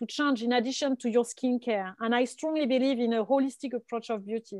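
A woman with a strong French accent, high pitch, fairly even intonation and a fairly quick pace, in a dry, close sound with no echo and a quiet background. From France. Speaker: venture capital investor. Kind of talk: casual panel discussion. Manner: hesitant, with frequent fillers.

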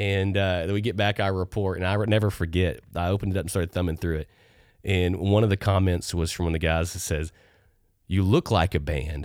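A man with a Texan accent and very deep, low pitch, at a fairly quick pace with fairly even intonation, in a very clean recording with a silent background. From Texas. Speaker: co-host, church ministry. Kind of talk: casual chat.

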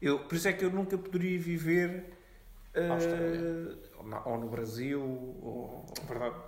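A man at a high pitch and a very slow pace, with long, frequent pauses, ordinary pitch variation, audible room echo and noticeable background noise. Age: 20s. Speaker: podcast co-host, law student. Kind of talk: casual chat.

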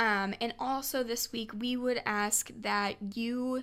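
A woman speaks with a Midwestern American accent. Her pitch is fairly high. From Nebraska. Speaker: podcast co-host. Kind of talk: casual chat. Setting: studio.

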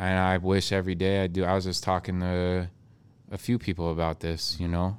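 A man with an American accent speaks at a moderate pace. His pitch is very deep and low, and his intonation is monotone and flat. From US Northwest (Spokane area, Washington). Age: 30s. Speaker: clothing line founder. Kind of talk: casual chat. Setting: studio.

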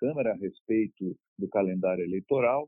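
Keeping his intonation fairly even, a man speaks at a moderate pace. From Brazil, São Paulo. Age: 50s. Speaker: retired air force officer and mayoral pre-candidate. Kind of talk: interview. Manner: calm.

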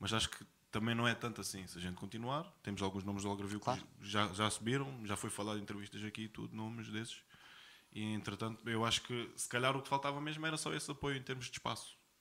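The tone is bright and sharp. Delivery comes at a very fast pace with ordinary pitch variation. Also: man. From Portugal (Algarve). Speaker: rapper. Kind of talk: casual interview.

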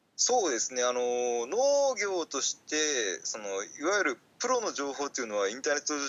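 A man's fairly high voice swings very widely in pitch as he talks fairly quickly. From Fukuoka, Japan. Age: 30s. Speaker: podcaster and part-time farmer. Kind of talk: casual interview chat. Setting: remote call recording. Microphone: Skype call audio, less clear than usual.

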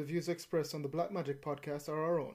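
A man's dark, mellow tone at a fairly high pitch and very fast pace. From Jamaica. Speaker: podcast co-host. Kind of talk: casual chat.

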